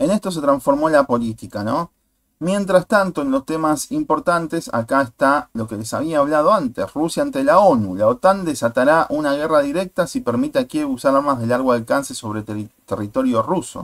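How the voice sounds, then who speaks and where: A man speaks in an ordinary speaking voice at a fairly high pitch, with lively intonation, a moderate pace and hardly any pauses, in a dry, close sound with no echo. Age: 40s. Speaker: YouTuber, political commentator. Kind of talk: video commentary monologue.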